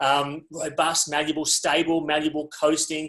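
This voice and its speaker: This is a man talking with an Australian accent. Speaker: resilience speaker. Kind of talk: webinar talk. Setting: video call.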